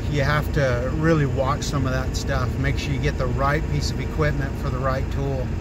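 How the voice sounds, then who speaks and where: Loud background noise fills the dry recording, which has no echo. A man speaks over it at a moderate pace. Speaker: small farm owner vlogger. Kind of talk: casual vlog chat. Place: car.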